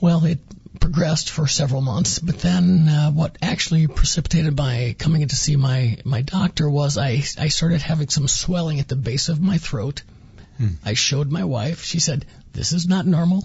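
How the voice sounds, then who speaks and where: A man with a fairly high pitch talks at a moderate pace while noticeable background noise carries on. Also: ordinary pitch variation. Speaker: former cancer patient. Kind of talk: personal story interview.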